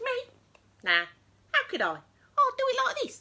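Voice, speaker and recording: A woman uses a put-on character voice, squeaky and extremely high. She keeps a moderate pace. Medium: read story.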